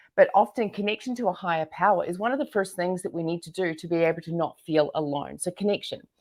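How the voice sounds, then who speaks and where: A woman with a New Zealand accent at a very fast pace, in a very clean recording with a silent background. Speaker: entrepreneur and business coach. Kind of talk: interview. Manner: animated.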